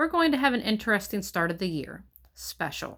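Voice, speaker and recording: Putting on a squeaky, shaky character voice, a female-sounding speaker talks at medium pitch and a fairly quick pace with very wide pitch swings. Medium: read story. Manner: nervous, forced cheer.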